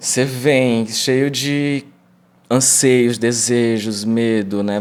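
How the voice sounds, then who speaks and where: Keeping his intonation fairly even, a man talks at a medium pitch. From Brazil, Ceará (Fortaleza area). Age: 20s. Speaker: actor and vocal expression teacher. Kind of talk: casual interview chat.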